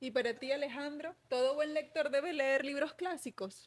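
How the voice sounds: At a moderate pace, a woman talks in a high pitch. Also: ordinary pitch variation.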